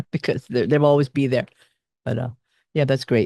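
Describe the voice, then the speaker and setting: In a dry, close sound with no echo and a quiet background, a man with a normal speaking voice talks at a medium pitch and a fairly quick pace. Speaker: radio show host. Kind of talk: interview.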